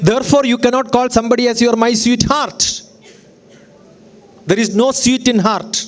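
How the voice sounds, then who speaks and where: A man with an extremely high pitch and an animated tone speaks at a moderate pace, keeping his loudness very even. He leaves long, frequent pauses over noticeable background noise. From Kerala, India. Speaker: educator and speaker. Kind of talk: lecture.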